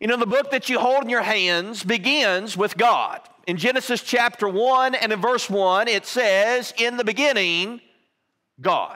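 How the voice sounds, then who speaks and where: Over a quiet background, a man speaks fairly slowly in a raised, projected voice with a bright, sharp tone and ordinary pitch variation. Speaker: preacher. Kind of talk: sermon. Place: church.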